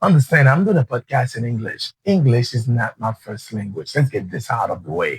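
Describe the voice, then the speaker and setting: A man with a Haitian accent speaks at a medium pitch in a somewhat breathy voice, with very wide pitch swings and hardly any pauses, and the sound is dry and close with no echo. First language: Haitian Creole. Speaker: podcast host and entrepreneur. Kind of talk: motivational podcast monologue. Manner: halting at times.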